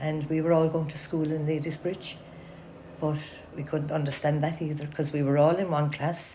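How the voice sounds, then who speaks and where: Somewhat breathy and very deep and low, a woman's voice has a dark, mellow tone and a monotone, flat intonation. She talks at a moderate pace with audible room echo. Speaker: oral history interviewee. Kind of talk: oral history interview.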